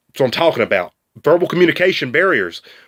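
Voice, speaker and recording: Dry and close with no echo, the voice carries a strong Southern US accent. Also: man. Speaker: student. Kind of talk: class video presentation. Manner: casual, halting with fillers.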